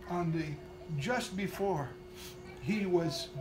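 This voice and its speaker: A man speaks with a high pitch. Faint music plays in the background. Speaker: minister. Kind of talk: prayer and scripture reading. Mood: fervent, tender.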